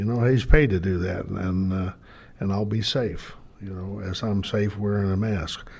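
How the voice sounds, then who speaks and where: With audible room echo, a man talks at a moderate pace. His fairly low, somewhat breathy voice has fairly even intonation. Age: 70s. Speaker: city board director. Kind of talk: council meeting remarks. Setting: city board meeting. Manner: halting.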